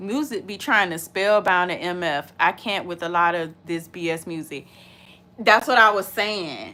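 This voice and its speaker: A woman's medium-pitched voice, bright and sharp in tone, with ordinary pitch variation, big swings in loudness and a fairly slow pace. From US, urban neighborhood. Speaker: reaction video creator. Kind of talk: casual chat, reaction video. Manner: animated.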